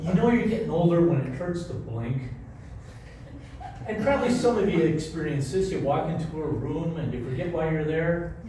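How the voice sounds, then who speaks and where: A man with an American accent and lively intonation, fairly high in pitch, amid noticeable background noise and audible room echo. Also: moderate pace. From Rochester, New York. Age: 70s. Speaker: comedian. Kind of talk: stand-up. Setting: stage with audience.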